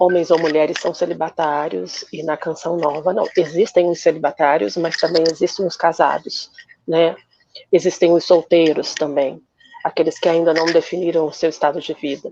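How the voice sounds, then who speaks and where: A woman with a normal speaking voice talks at a moderate pace, her fairly low pitch carried by fairly even intonation. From Brazil, Rio de Janeiro. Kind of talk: interview.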